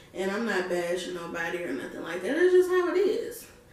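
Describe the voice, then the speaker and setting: A woman speaks in an animated tone at a fairly high pitch with very wide pitch swings. Audible room echo is present. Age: 20s. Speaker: vlogger. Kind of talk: casual talk to camera.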